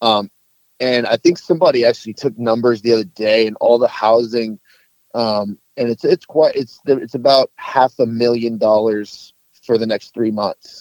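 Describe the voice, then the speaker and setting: In an American accent, a man with an unremarkable speaking voice talks at a moderate pace and medium pitch with fairly even intonation, the sound dry and close with no echo. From Texas, Dallas-Fort Worth area. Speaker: navy sailor. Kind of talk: casual chat.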